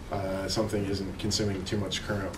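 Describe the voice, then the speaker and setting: A man at fairly low pitch talking at a very fast pace, with audible room echo and noticeable background noise. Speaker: conference presenter, spacecraft engineer. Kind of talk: technical conference talk.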